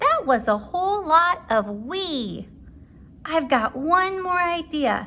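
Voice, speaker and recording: A woman in a put-on character voice speaks at a fairly slow pace, her pitch extremely high and swinging very widely. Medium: read story. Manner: cheerful, gentle.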